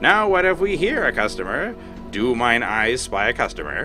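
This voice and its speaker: In a put-on character voice, a man projects a raised, shrill, nasal sound at medium pitch and a moderate pace over clear music in the background. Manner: braying, shrewish.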